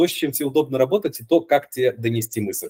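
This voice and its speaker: A man talks very fast with lively intonation and a dark, mellow, somewhat breathy tone, recorded dry and close with no echo. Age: 30s. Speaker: game design teacher. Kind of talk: casual chat.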